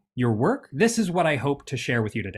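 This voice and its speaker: In a very clean recording with a silent background, a man with an American accent sounds somewhat breathy at a fairly high pitch. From United States. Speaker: workshop presenter. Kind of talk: interactive presentation.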